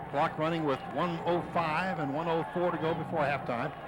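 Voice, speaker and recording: Over noticeable background noise, a man with a fairly high voice speaks with ordinary pitch variation. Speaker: radio play-by-play announcer. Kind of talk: live radio football play-by-play. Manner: fast, excited.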